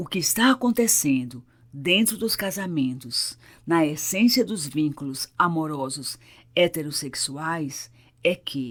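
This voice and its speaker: The speech moves at a very slow pace with very wide pitch swings on a very clean recording with a silent background. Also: woman, very deep, low pitch for a woman. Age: 60s. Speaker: psychologist, couples therapist. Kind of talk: therapeutic monologue.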